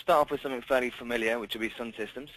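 This is a man's voice. The sound is dry with no echo. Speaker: software demonstrator. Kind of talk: tutorial. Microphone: video call.

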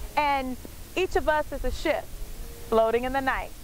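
A woman's high-pitched voice with ordinary pitch variation, dry sound with no echo and light background noise. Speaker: motivational speaker. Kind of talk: motivational speech to camera. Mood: warm, uplifting. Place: waterside.

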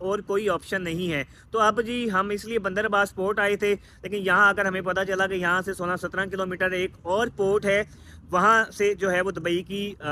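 A man uses a raised, projected voice with a bright, sharp tone and monotone, flat intonation, in a dry sound with no echo over light background noise. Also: moderate pace. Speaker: travel vlogger. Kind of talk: casual vlog chat. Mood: resigned but hopeful. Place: street. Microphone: phone near.

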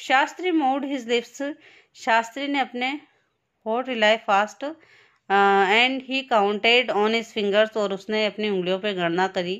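A woman speaks in an unremarkable speaking voice, pitched fairly high and with ordinary pitch variation. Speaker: school teacher. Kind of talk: lesson reading aloud with translation.

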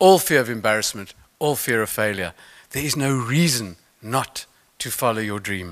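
A man with a South African accent talks at a moderate pace. His intonation is lively, and the background is quiet. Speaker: motivational speaker, mental toughness expert; motivational speaker. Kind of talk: conference keynote talk. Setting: stage with audience. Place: stage.

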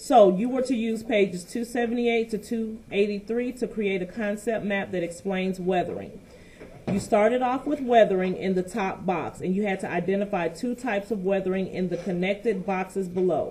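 Light background noise accompanies a woman speaking at a moderate pace with ordinary pitch variation. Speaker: teacher. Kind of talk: lesson to class.

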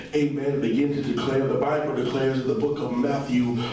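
There is strong room echo and light background noise as a man talks at a fairly quick pace. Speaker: preacher. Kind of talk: sermon. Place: hall.

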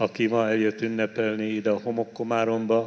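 The pace is fairly slow. It is a man who talks. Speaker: bishop celebrating Mass. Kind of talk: liturgical greeting address. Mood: warm, solemn. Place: church. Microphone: handheld.

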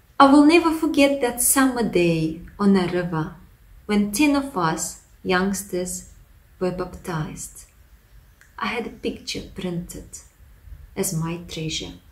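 A woman with a Russian accent speaks at a fairly slow pace with long, frequent pauses, very wide pitch swings and big swings in loudness. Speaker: pastor; former lecturer giving a testimony. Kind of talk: testimony. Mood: reflective, earnest.

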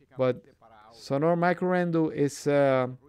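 A man speaks in a Spanish accent with ordinary pitch variation. The recording is very clean, with a silent background. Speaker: audio equipment video reviewer. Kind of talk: product review video.

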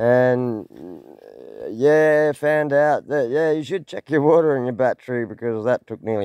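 A man with an Australian accent speaks at a moderate pace and with lively intonation over a quiet background. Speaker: gold prospecting vlogger. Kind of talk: casual vlog narration. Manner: halting, many fillers.

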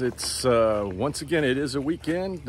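With light noise in the background, a man's pitch swings very widely in a dry recording with no echo. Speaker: sailor vlogger. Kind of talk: casual vlog chat. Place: waterside. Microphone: phone near.

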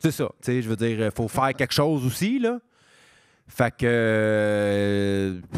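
A man at a very slow pace, with ordinary pitch variation and very even loudness, in a dry sound with no echo against a quiet background. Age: 30s. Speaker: stand-up comedian; podcast guest, comedian. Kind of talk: casual interview chat. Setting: stage with live audience. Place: stage. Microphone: handheld.

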